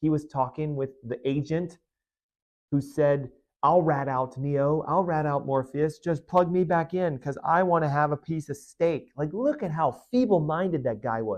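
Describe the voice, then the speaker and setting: A man speaks in an animated tone at a fairly high pitch, with ordinary pitch variation. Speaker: chiropractor / health show host. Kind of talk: podcast monologue. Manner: fast.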